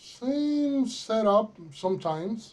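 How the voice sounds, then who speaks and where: This is a man speaking. He has a Mexican accent. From Mexico. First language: Spanish. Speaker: accounting software consultant. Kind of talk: tutorial. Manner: halting, many fillers.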